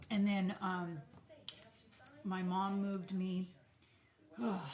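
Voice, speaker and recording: The speech moves at a very slow pace in a monotone, flat intonation, with noticeable background noise present. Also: woman, medium pitch for a woman. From California, with childhood in US Midwest. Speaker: small business owner, soap maker. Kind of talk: casual livestream chat while packing orders.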